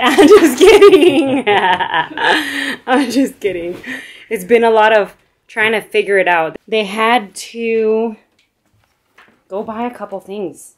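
With lively intonation, a woman's voice swings widely in loudness. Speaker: vlogger filming the build. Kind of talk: casual vlog chat. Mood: playful, teasing. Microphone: phone near.

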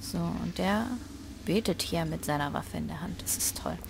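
A woman's voice sits fairly low in pitch. Vocal fry runs through it. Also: ordinary pitch variation, moderate pace.

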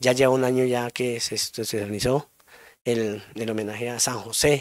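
Speaking at a moderate pace, a man holds a medium pitch with fairly even intonation. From Colombia, Cundinamarca (Gachancipá). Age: 40s. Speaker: community council president. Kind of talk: interview. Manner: halting, with repetitions.

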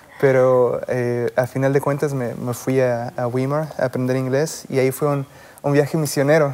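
At a moderate pace, a man speaks in a monotone, flat intonation. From Mexico. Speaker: MD-PhD student; guest. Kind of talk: interview. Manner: halting, many repetitions. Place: studio.

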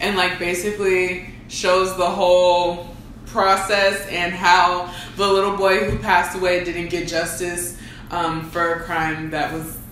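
Flat, monotone intonation comes at a fairly slow pace, with audible room echo and light background noise. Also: woman, fairly low pitch for a woman. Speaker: co-host. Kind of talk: casual vlog chat. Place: home room.

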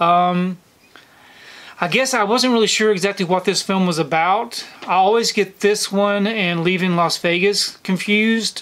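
A man with a Southern US accent and a high pitch, fairly even intonation, very even loudness and a fairly slow pace. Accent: Southern US (Georgia). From US South, Georgia. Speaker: YouTuber, film collector; movie collector reviewer. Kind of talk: casual monthly film recap to camera; casual vlog chat. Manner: casual, frequent fillers (um). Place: home room.

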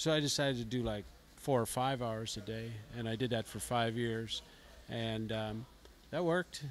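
With a Canadian accent, a man speaks at a moderate pace with ordinary pitch variation, long, frequent pauses and light background noise. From Ontario, Canada. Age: 50s. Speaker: blues guitarist and songwriter; interviewee. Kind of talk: interview. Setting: music festival. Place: home room. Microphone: handheld.

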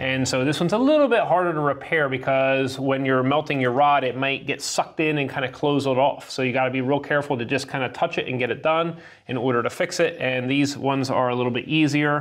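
Against a quiet background, a man talks at a very fast pace. His intonation stays fairly even. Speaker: HVAC instructor. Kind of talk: tutorial. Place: classroom. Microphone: lapel.

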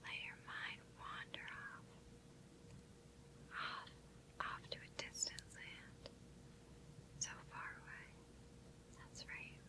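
With noticeable background noise, a woman speaks at a very slow pace, leaving long, frequent pauses. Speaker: hypnotist. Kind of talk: hypnosis induction for sleep. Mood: calm, soothing. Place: studio.

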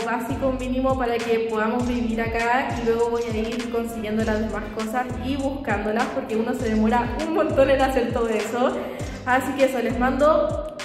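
A woman's high-pitched voice at a moderate pace, with fairly even intonation, audible room echo and clear music in the background. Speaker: vlogger. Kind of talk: casual vlog chat. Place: empty room. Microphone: phone near.

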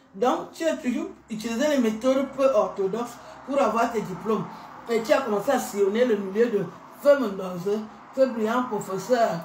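With long, frequent pauses, a woman speaks at a moderate pace and a fairly high pitch with ordinary pitch variation, amid light background noise and audible room echo. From Cameroon. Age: 50s. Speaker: YouTuber; social media commentator. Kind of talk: rant; heated rant to camera. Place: bathroom. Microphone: phone near.

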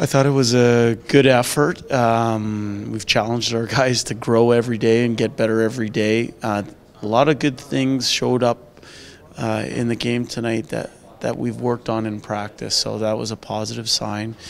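A man talks at a moderate pace and a medium pitch for a man. His voice shows little pitch movement and some vocal fry.

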